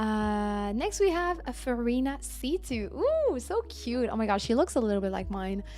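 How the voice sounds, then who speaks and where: Speaking in a French accent at a moderate pace with hardly any pauses, a woman is heard over noticeable background noise. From France. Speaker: game streamer. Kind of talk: live stream chat, reviewing viewer game builds. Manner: casual, filler-heavy.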